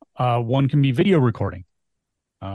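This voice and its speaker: A somewhat breathy man at a moderate pace, with ordinary pitch variation, in a dry, close sound with no echo and a quiet background. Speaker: podcast host and agency CEO. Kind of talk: educational podcast discussion.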